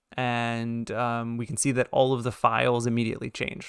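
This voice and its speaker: A man with a normal speaking voice at medium pitch talks at a fairly slow pace, in a dry, close sound with no echo on a very clean recording with a silent background. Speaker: web development instructor. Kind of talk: coding tutorial lecture. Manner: casual with filler words.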